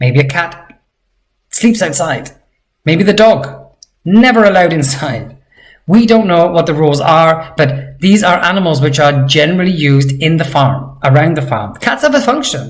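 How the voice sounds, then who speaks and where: The intonation is lively. Room echo is audible. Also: man, fairly high pitch for a man. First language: not Georgian. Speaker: language teacher. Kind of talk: tutorial. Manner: slow, deliberate pronunciation of target words.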